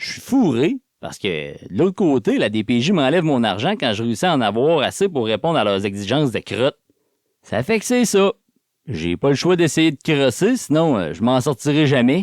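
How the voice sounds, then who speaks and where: A man with a Quebec accent, fairly high in pitch with very wide pitch swings, speaks at a moderate pace on a very clean, dry, close recording with no echo and a silent background. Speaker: audiobook narrator. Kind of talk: audiobook reading, first-person novel.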